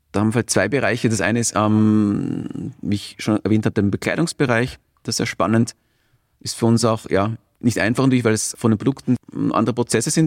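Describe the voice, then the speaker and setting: A man speaking at a very fast pace with fairly even intonation, in a dry, close sound with no echo. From Austria. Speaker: entrepreneur, founder. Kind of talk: interview. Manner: hesitant, repeating words.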